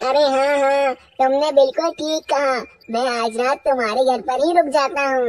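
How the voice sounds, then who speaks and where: A female-sounding, cartoonish character voice talks at a moderate pace with a high pitch. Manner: imperious.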